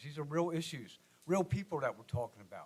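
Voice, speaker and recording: Talking at a fairly quick pace with an American accent, a man uses a normal speaking voice, fairly high in pitch, with ordinary pitch variation. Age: 60s. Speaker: resident speaking at public comment. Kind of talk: public comment at city meeting. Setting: city commission meeting room.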